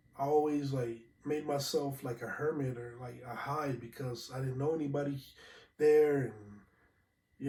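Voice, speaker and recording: The voice is somewhat breathy and dark and mellow in tone, with fairly even intonation at a moderate pace. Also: man. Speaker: podcast host. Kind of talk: casual solo podcast talk. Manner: halting, many fillers.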